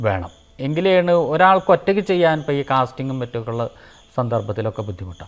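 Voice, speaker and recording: Pitch swinging very widely, over a silent background on a very clean recording. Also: man. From Kerala, Palakkad district. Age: 50s. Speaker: temple sculptor. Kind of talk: interview. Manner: halting.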